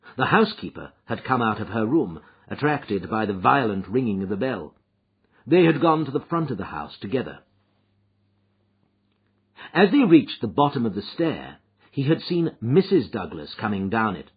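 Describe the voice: A man's voice carries a husky, rough edge. His pitch swings widely. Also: medium pitch for a man, moderate pace.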